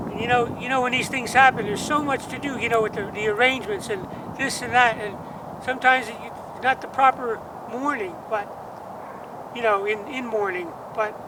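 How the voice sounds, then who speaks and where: Over noticeable background noise, a man with an American accent speaks in a raised, projected voice at an extremely high pitch, at a fairly quick pace with fairly even intonation and long, frequent pauses. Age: 60s. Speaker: musician. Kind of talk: personal vlog monologue. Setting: outdoors at cemetery grave. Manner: halting.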